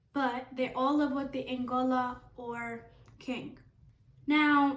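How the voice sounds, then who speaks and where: In a non-native accent, a woman speaks at a very slow pace in a high voice with fairly even intonation, and the room echo is audible. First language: not English. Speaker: hairdresser and storyteller. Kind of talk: casual storytelling while doing hair. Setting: salon video with camera helper. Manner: chatty, informal.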